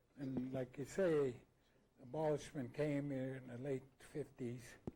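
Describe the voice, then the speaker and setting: Somewhat breathy, a man speaks fairly slowly in a dark, mellow tone, his fairly high pitch held to a flat monotone. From Alaska. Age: 70s. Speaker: former fisherman. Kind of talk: panel talk recounting memories. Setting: annual meeting with audience. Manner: halting, many fillers.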